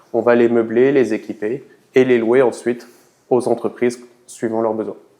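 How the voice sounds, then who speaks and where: Monotone, flat intonation marks this man's dark, mellow tone at a moderate pace. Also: medium pitch for a man. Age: 30s. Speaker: startup co-founder. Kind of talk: interview. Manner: hesitant with fillers.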